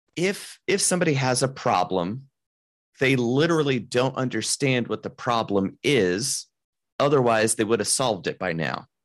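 At a moderate pace, an unremarkable speaking voice with lively intonation comes through a very clean recording with a silent background. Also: man, medium pitch for a man. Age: 30s. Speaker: mind reader and business consultant. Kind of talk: casual interview.

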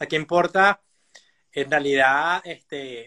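A man's bright, sharp voice with a dry, close sound and no echo. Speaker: life coach and psychologist. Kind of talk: casual interview. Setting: live Instagram stream. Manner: fast.

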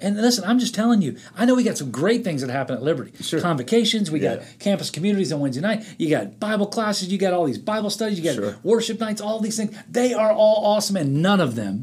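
A man talks very fast in a high voice with lively intonation and hardly any pauses. Noticeable background noise sits behind him. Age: 50s. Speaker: pastor. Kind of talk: interview.

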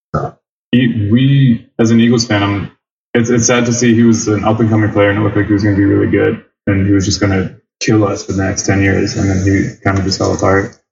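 A man with an American accent talks very fast in a fairly low, somewhat breathy voice. His intonation stays monotone and flat. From US, Philadelphia area. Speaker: English teacher living abroad. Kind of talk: casual chat.

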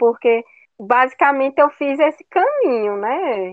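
A woman's high-pitched voice at a fairly slow pace. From Brazil, Agreste of Pernambuco. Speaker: geography professor. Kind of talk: talk in online study group. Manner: frequent filler 'né'.

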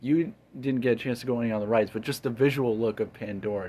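An unremarkable speaking voice comes with an American accent and ordinary pitch variation. The background is quiet. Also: man. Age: 20s. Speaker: podcast host. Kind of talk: casual chat.

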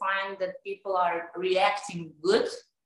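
Speaking very slowly, a woman with a Serbian accent has a medium pitch. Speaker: tennis coach and amateur painter. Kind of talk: interview. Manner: halting.

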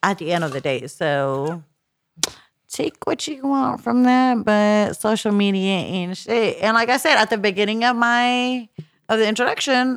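A woman talks at a fairly slow pace in an American accent. Her voice sits fairly high and makes very wide pitch swings. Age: 30s. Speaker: podcast guest, single mother. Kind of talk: casual chat. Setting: studio.

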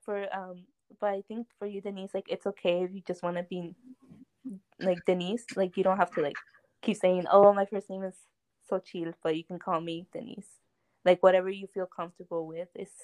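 A woman with a medium pitch talks at a moderate pace with fairly even intonation and long, frequent pauses, her loudness swinging widely. The sound is dry and close with no echo. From US, Mexican-American. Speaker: student podcast host. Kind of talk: casual chat. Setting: remote recording.

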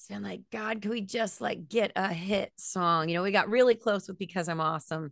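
A woman with an American accent and an unremarkable speaking voice, at a moderate pace with ordinary pitch variation, over a quiet background. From US Florida. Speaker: band singer. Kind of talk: casual interview chat.

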